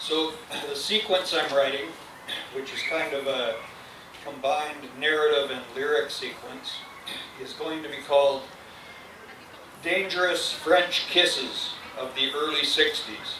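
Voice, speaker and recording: Noticeable background noise and audible room echo surround a man who speaks at a fairly slow pace with fairly even intonation and long, frequent pauses. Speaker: poet. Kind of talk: poetry reading. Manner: quiet. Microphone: too quiet, mic too low.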